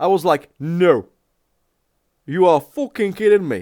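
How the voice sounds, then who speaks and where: Fairly slow speech with a Czech accent and ordinary pitch variation. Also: man. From Czech Republic. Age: 40s. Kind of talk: casual reaction commentary.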